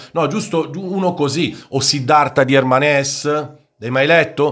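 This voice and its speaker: Against a quiet background, a man speaks at a fairly high pitch with fairly even intonation. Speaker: football YouTuber and commentator. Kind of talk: angry rant against the media, opinionated monologue. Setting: solo video monologue. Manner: fiery, indignant, emphatic, lecturing and sarcastic. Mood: indignant rant. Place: home room. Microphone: studio mic.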